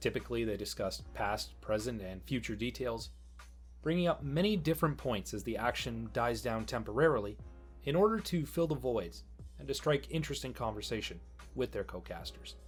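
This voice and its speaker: A man's fairly quick speech plays with music in the background. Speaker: guest narrator. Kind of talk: educational narration.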